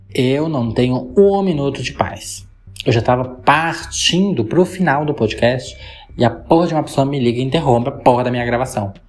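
Through noticeable background noise, a man talks with lively intonation. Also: medium pitch for a man, moderate pace. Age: 20s. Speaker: podcaster. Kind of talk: casual monologue.

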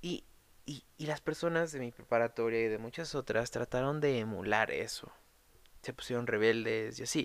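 Medium in pitch, a man with a Mexico City accent talks at a moderate pace with ordinary pitch variation. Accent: Mexican Spanish (Mexico City). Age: 20s. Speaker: podcast host, art student. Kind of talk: solo monologue podcast. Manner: casual, hesitant with repetitions.

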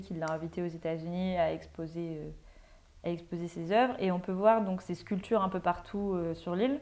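A woman talks at a fairly quick pace in a dark, mellow tone. Her pitch varies in an ordinary way. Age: 20s. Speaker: law student. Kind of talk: casual chat.

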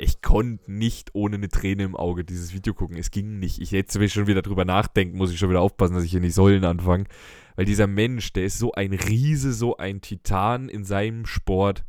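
A man's fairly low pitch at a fairly quick pace, an ordinary speaking voice with fairly even intonation, on a very clean recording with a silent background. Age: 20s. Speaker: podcast host. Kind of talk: casual chat. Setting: studio.

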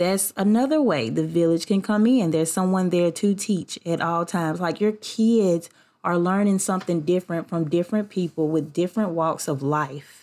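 In a very clean recording with a silent background, a woman with a Southern US accent speaks in an animated tone at a fairly low pitch and moderate pace, with ordinary pitch variation, very even loudness, and hardly any pauses. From US South. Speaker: podcast host. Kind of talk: casual solo podcast talk. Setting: at home. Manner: animated, laughing often.

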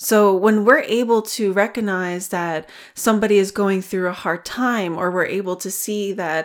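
A normal speaking voice moves at a moderate pace on a very clean recording with a silent background. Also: woman. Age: 30s. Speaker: wellness podcast host. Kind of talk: solo podcast monologue on self-compassion. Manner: warm, gentle.

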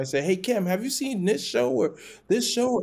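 A man talks in a plain, everyday voice at a fairly quick pace. His pitch variation is ordinary. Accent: American. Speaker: founder and diversity executive. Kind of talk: interview conversation.

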